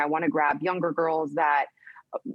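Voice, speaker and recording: A woman talks at a very fast pace in a Spanish accent. Her pitch is very deep and low. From US, Colombian parents. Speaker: real estate executive. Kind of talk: TV news interview.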